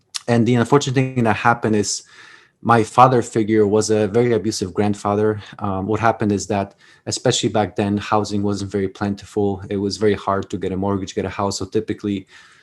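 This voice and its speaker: Very fast, monotone speech in a Polish accent with flat intonation, on a very clean recording with a silent background. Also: man, fairly low pitch for a man. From Poland. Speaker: Army veteran and author. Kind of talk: podcast interview, personal story. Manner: halting, many repeated words.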